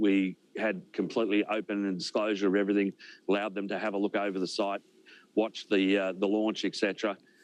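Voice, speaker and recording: In a dry, close recording with no echo and a quiet background, a man with an Australian accent talks at a fairly quick pace. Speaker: space company executive. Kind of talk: news interview.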